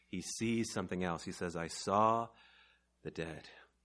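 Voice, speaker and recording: The man's tone is bright and sharp, with ordinary pitch variation. The background is quiet. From Mexico. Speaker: preacher. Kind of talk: sermon. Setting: church service with audience.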